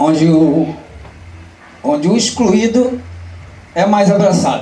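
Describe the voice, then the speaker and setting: A man's speech, with ordinary pitch variation, carries audible room echo and noticeable background noise. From Rio de Janeiro, Marechal Hermes. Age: 60s. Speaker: bate-bola community member. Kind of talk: panel talk.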